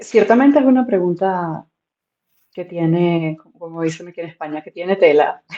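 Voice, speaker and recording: A woman speaks at a moderate pace in a fairly low, dark, mellow voice, her intonation lively and her loudness swinging widely. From Venezuela. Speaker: content creator. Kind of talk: interview conversation.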